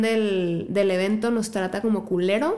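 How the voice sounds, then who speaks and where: A woman's fairly high voice at a very slow pace, with fairly even intonation and noticeable background noise. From Mexico, La Piedad, Michoacán. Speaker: singer-songwriter. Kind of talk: casual chat.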